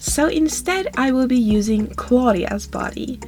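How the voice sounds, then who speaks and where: Against noticeable background noise, a woman with a non-native accent speaks at a fairly slow pace. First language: not English. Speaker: doll customizing video creator. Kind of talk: voiceover tutorial narration.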